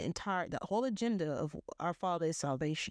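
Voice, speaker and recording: An unremarkable speaking voice: a woman with an American accent, fairly low pitch, lively intonation and a moderate pace, in a dry, close sound with no echo and a quiet background. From US South. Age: 30s. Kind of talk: solo religious monologue.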